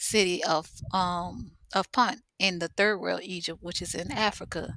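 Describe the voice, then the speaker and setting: A woman with a New Orleans accent speaks at a fairly slow pace, her medium-pitched voice bright and sharp in tone. The recording is very clean, with a silent background. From New Orleans, Louisiana. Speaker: spiritual teacher. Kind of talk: casual talk to camera.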